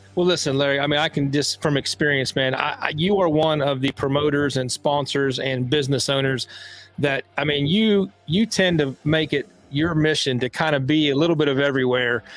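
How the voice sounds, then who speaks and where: Over noticeable background noise, a man with a fairly high pitch talks at a fairly quick pace, his loudness very even and his intonation fairly even. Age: 30s. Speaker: motorsports live stream host. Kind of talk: live stream interview. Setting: live video stream.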